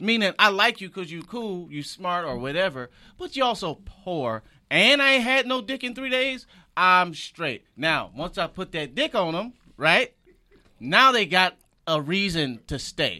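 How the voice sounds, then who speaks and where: A man speaks in a raised, projected voice at a high pitch, with very wide pitch swings and a bright, sharp tone. He goes at a fairly slow pace on a very clean recording with a silent background. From Michigan, Detroit. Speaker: comedian. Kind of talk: casual chat.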